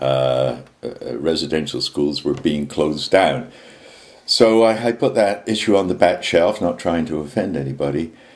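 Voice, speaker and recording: With a very deep, low voice and vocal fry, a man talks at a moderate pace using lively intonation. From England. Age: 70s. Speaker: activist. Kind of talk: video message monologue. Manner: halting, many fillers.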